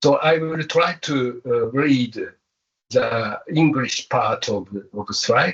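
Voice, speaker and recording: Speaking very slowly in a non-native accent, a man with a fairly high pitch uses ordinary pitch variation. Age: 70s. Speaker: professor. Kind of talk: lecture. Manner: halting.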